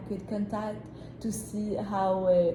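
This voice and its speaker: Speaking at a very slow pace and a medium pitch, a woman is heard with audible room echo and noticeable background noise. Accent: French. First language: French. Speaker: job applicant in a mock interview. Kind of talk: mock job interview. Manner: hesitant, many fillers.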